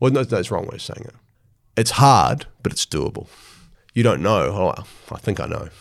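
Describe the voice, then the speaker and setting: On a very clean recording with a silent background, a man speaks at a medium pitch and moderate pace, with vocal fry, big swings in loudness, and long, frequent pauses. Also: lively intonation. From New Zealand, Hawke's Bay. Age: 40s. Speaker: sports mental skills coach. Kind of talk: podcast interview. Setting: studio.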